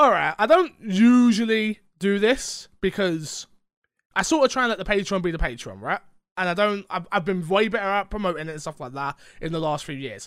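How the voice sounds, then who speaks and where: This man speaks with a London accent. His pace is moderate. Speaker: podcast host. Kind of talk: casual chat. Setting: recording from bedroom.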